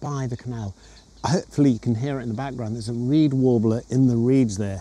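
Ordinary pitch variation colors a man's dark, mellow tone. The sound is dry, with no echo. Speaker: nature photographer vlogger. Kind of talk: casual vlog chat. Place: waterside. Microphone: lapel.

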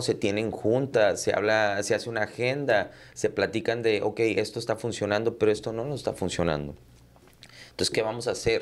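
Ordinary pitch variation at a moderate pace. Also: man. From Texas border, Rio Grande Valley; Texas. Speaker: entrepreneur and podcaster; podcaster. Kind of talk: casual interview chat. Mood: calm, reflective. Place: studio. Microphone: studio mic.

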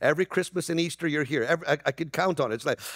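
A man's very fast voice, fairly high pitched for a man, with a fairly bright tone, ordinary pitch variation, and a dry, close sound with no echo.

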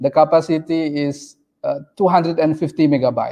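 A man speaks with an Indonesian accent. The background is quiet. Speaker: PhD researcher; presenter. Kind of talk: conference presentation. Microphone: video call.

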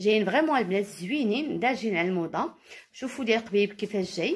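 Fairly high and somewhat breathy, a woman's voice carries lively intonation. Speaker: caftan designer and seller. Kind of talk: product showcase.

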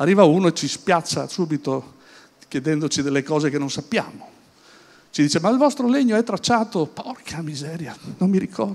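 With lively intonation, a man speaks at a moderate pace in a high pitch. He leaves long, frequent pauses. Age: 60s. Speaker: business speaker; speaker. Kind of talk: conference talk. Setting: stage with audience at an event. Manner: hesitant, with many fillers and repetitions. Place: hall. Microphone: handheld.

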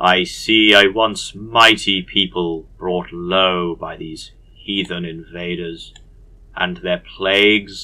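A man puts on a character voice with a very deep, low pitch and speaks at a very slow pace. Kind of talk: priestly, solemn.

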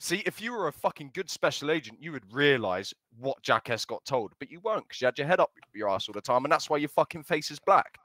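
Very fast, bright, sharp speech with very wide pitch swings and big swings in loudness, dry with no echo against a quiet background. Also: man, fairly high pitch for a man. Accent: British. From Britain. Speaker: gamer doing stand-up comedy in a roleplay game. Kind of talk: casual stand-up and roast in a game voice chat. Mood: mocking, comedic roast. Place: home room.

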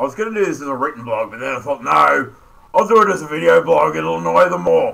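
This is a put-on character voice with a croaky sound. It races along at a very fast pace. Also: man, medium pitch for a man. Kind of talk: casual vlog chat. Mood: wry, mildly provocative.

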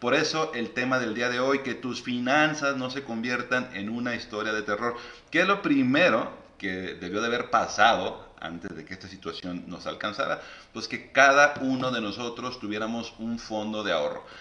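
Room echo is audible around a man's voice. His pitch moves in an ordinary way. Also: moderate pace. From Mexico. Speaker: financial advisor and live show host; live show host. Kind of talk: live stream interview. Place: home room. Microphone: phone near.

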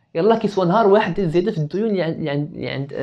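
A man's very fast speech with ordinary pitch variation, over a quiet background. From Morocco. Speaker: business student; podcast guest. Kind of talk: casual chat. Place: home room. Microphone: lapel.

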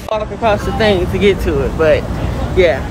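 A woman at a fairly quick pace, dry with no echo, over noticeable background noise. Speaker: lifestyle vlogger. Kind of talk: casual vlog chat. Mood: excited, upbeat. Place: street. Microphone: phone near.

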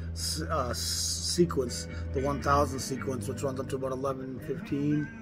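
A man speaks at a moderate pace while clear music sounds behind him. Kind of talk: casual vlog chat about records. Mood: enthusiastic, expressive. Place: cafe.

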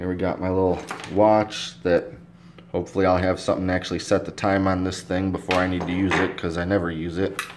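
Noticeable background noise behind a man's very deep, low voice. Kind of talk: casual show-and-tell vlog. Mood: relaxed, self-deprecating. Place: home room. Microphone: phone near.

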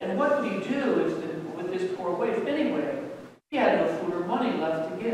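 Simple, plain reading aloud

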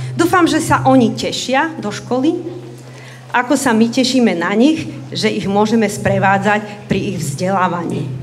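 Against light background noise, a woman speaks at a fairly slow pace. Her pitch swings very widely. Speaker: school principal or teacher. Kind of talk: welcome speech. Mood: warm, formal welcome. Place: hall. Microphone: camera far.

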